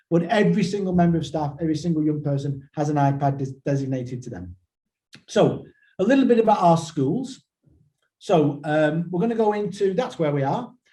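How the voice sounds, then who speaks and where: A man speaks at a fairly quick pace with lively intonation. His fairly high voice has a dark, mellow tone. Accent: northern English. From northern England. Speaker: school trust chief executive. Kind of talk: webinar presentation. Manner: hesitant, many repetitions and fillers.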